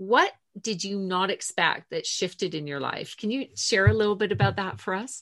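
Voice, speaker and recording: A woman speaks at a medium pitch with lively intonation and some vocal fry. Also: moderate pace. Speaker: podcast host. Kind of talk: casual interview.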